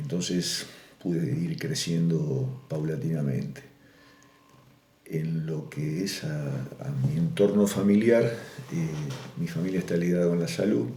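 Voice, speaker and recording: Over noticeable background noise and audible room echo, a man with a very deep, low pitch speaks at a very slow pace, with very wide pitch swings and long, frequent pauses. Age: 60s. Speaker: farmer. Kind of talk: oral history interview. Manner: hesitant, with many fillers.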